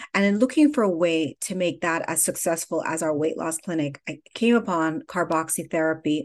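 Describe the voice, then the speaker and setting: Keeping a moderate pace, a woman uses an ordinary speaking voice with lively intonation. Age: 50s. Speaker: skincare company founder. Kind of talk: interview.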